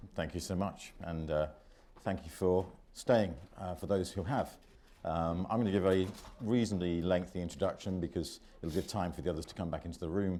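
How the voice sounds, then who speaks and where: Here a man speaks in a very deep, low pitch. His tone is dark and mellow. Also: ordinary pitch variation, fairly quick pace. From Britain. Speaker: panel moderator. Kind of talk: conference panel introduction. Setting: conference room with audience.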